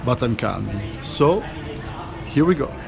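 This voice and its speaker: A man speaks in an Italian accent amid noticeable background noise. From Italy. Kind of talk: casual travel vlog to camera.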